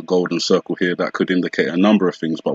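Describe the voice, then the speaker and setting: His voice sits at a very deep, low pitch, and the man keeps his intonation fairly even. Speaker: conspiracy video commentator. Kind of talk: solo video commentary. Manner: fast; hesitant, many fillers.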